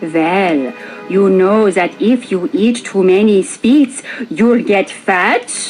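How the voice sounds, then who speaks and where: Over clear music in the background, a female-sounding voice in a put-on character voice speaks at a very slow pace with a medium pitch. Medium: read story. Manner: sugary, grandmotherly.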